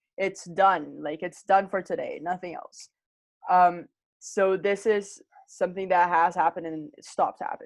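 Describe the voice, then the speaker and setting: A woman at medium pitch and moderate pace, with a plain, everyday voice. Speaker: English teacher. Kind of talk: online grammar lesson. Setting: video call.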